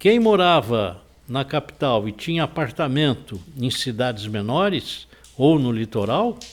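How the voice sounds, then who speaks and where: A man at medium pitch, with very wide pitch swings and a fairly slow pace. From São Paulo coast, Brazil. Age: 70s. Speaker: real estate association president. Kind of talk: interview.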